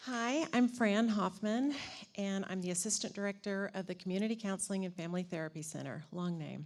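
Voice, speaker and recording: A woman speaks at a fairly quick pace with an American accent. Hers is an unremarkable speaking voice at a medium pitch. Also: very clean recording, silent background. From New Orleans, then Arlington, Texas. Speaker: university counseling center staff. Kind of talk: self-introduction at staff meeting.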